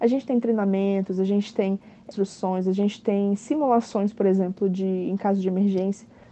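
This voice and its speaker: A woman's medium-pitched voice with a dark, mellow tone, fairly even intonation, very even loudness, and a moderate pace. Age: 20s. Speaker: cruise ship bar waitress. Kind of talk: recorded interview answers. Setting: aboard a cruise ship at sea.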